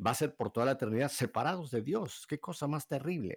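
Very wide pitch swings at a fairly quick pace. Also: man. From Mexico City. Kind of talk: live radio interview. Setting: radio studio.

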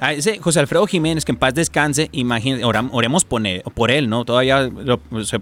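With a normal speaking voice and lively intonation, this speaker moves at a moderate pace. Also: man. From Tijuana–San Diego border. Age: 30s. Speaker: radio operator. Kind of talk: casual interview.

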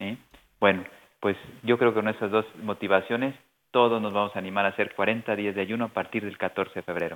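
A man talks at a fairly quick pace in a fairly low pitch, his intonation flat and monotone. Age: 50s. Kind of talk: radio interview.

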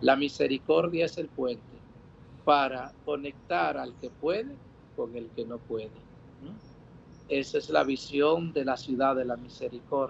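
A man speaks at a fairly slow pace with a fairly high pitch and ordinary pitch variation. His pauses are long and frequent. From Dominican Republic. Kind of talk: interview testimony. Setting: outdoor patio, remote link.

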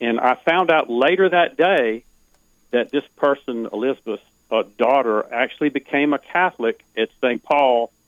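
A man with an American accent and a normal speaking voice talks at a fairly slow pace and medium pitch, with ordinary pitch variation and very even loudness.

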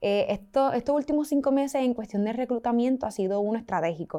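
On a very clean recording with a silent background, a woman speaks in a dark, mellow tone with lively intonation. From Puerto Rico. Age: 20s. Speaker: student activist. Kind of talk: interview.

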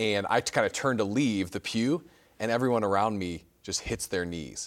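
With a Chicago accent, a man talks at a fairly low pitch and a moderate pace. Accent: Chicago-area American. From US Midwest, Chicago suburbs. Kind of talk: TV interview with call-ins. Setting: studio.

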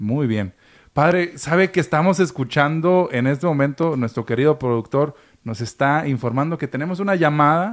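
A man's normal speaking voice at a fairly high pitch, with ordinary pitch variation and a moderate pace, on a very clean recording with a silent background. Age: 30s. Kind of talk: casual chat.

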